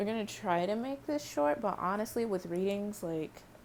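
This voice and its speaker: A soft-spoken woman at a moderate pace, with lively intonation. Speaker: tarot reader. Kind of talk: tarot reading vlog. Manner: casual, rambling.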